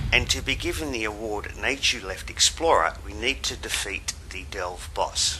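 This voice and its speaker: At a moderate pace, a man speaks with an Australian accent against noticeable background noise. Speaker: gaming video guide maker. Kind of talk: game walkthrough tutorial narration.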